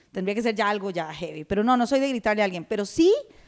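With a Costa Rican accent, a woman with a fairly high pitch and very wide pitch swings is heard on a very clean recording with a silent background. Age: 30s. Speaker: podcast co-host. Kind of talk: casual chat.

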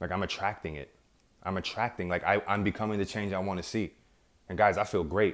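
In a very clean recording with a silent background, a man with an American accent uses a normal speaking voice, fairly low in pitch, fairly even in intonation, and at a fairly quick pace. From New York. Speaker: self-help podcast host. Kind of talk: motivational monologue.

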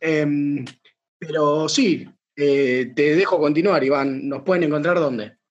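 A man's fairly high voice in a Rioplatense accent, very slow and fairly even in intonation. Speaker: podcast host. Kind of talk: casual chat.

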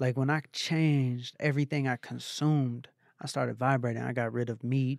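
With an American accent, a man speaks at a moderate pace and medium pitch, in a dry, close sound with no echo. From Atlanta, US South. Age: 30s. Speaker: motivational speaker and former music manager. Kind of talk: casual interview chat. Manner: animated.

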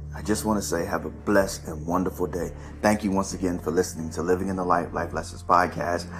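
Music plays in the background. The speech comes at a very fast pace. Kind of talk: fervent prayer. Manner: earnest, pleading, impassioned; repetitive, flowing with 'Lord' between phrases.

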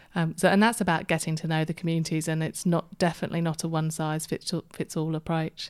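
In a British accent, a woman with a fairly low pitch speaks at a very fast pace with hardly any pauses and a monotone, flat intonation, in a dry, close sound with no echo on a very clean recording with a silent background. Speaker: community services manager. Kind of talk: interview.

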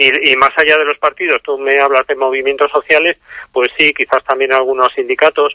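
Talking fairly quickly, the man holds a fairly high pitch and a monotone, flat intonation. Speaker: author and activist. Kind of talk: interview. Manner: halting, many fillers.

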